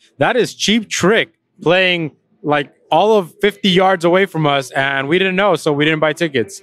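The sound is dry with no echo, and the speech keeps a moderate pace. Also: man. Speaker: host of a food review show. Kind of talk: casual commentary. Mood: playful, joking. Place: street. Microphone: handheld.

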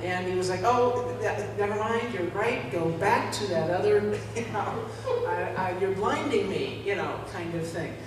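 Audible room echo and noticeable background noise are present. Through them, a woman talks at a moderate pace. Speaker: preacher. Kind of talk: sermon. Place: church. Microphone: camera far.

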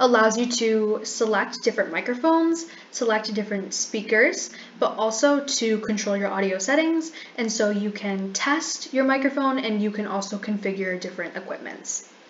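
Speaking at a moderate pace with ordinary pitch variation, a woman is heard over light background noise and audible room echo. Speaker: presenter. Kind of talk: tutorial. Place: home room.

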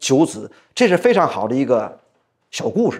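With very wide pitch swings, a man keeps a moderate pace against a quiet background. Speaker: storyteller. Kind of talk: traditional storytelling performance. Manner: casual, chatty. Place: studio. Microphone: lapel.

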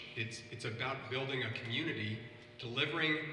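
With an American accent, a man speaks at a medium pitch amid audible room echo and light background noise. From US Midwest (Ohio). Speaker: government official on panel. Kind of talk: roundtable moderation. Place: factory.

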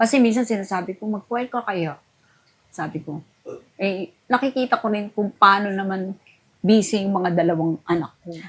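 With a plain, everyday voice at medium pitch, a woman talks at a moderate pace, using ordinary pitch variation and big swings in loudness. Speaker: veteran choir singer. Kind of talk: casual chat.

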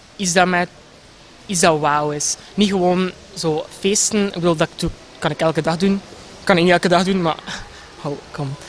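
A man with a West Flemish accent speaks in a high pitch at a moderate pace, with fairly even intonation and long, frequent pauses, over light background noise. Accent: West Flemish Dutch. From Belgium, West Flanders (Ypres). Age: 20s. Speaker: pageant contestant. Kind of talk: short interview. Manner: hesitant, many fillers. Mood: cheerful, smiling. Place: garden. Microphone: handheld.

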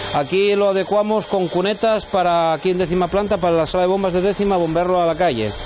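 Delivered at a very fast pace with ordinary pitch variation, the speech has light background noise. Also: man. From Asturias, Spain. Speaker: coal miner and mine guide. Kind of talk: guided tour explanation. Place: tunnel cave. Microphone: lapel.

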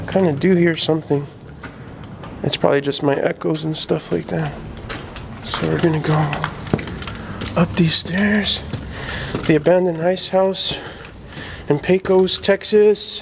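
The speech moves at a fairly slow pace with long, frequent pauses, and noticeable background noise runs underneath. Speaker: vlogger exploring locations. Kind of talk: casual vlog chat. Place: factory. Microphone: phone near.

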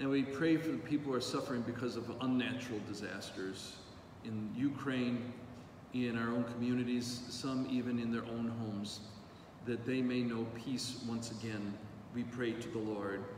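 Light background noise and audible room echo sit behind a man with a medium pitch. He talks at a moderate pace with fairly even intonation. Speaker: priest. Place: church.

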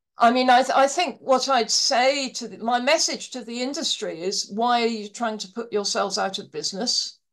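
A woman talks at a moderate pace in a fairly high pitch, with vocal fry. The background is quiet. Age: old. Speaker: actuary; panelist. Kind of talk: panel discussion. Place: home room. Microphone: video call.

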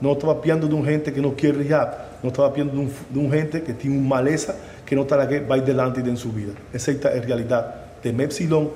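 Someone speaks at a fairly quick pace with fairly even intonation over light background noise. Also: man, fairly high pitch for a man. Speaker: psychiatrist or addiction specialist; interviewee. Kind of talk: explanatory talk. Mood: serious, earnest.

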